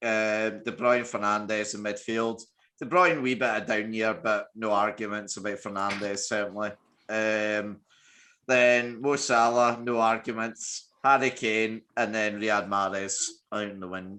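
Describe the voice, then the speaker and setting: Over a quiet background, a man with a Scottish accent speaks at a fairly low pitch and fairly slow pace, his tone bright and sharp and his intonation fairly even. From Scotland. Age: 20s. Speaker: podcast host. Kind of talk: casual podcast chat.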